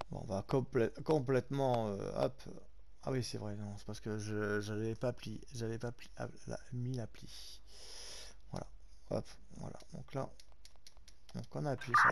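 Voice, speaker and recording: The speaker is a man talking at a fairly slow pace. His speech has long, frequent pauses. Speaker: gaming YouTuber. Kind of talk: gameplay commentary. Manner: halting.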